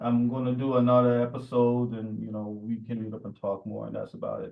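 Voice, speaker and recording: A man speaks fairly quickly in a New York accent at a medium pitch. His intonation stays monotone and flat while his loudness swings widely. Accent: New York American. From New York (Jamaica Queens). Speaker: podcast co-host. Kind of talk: casual chat. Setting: remote call at night.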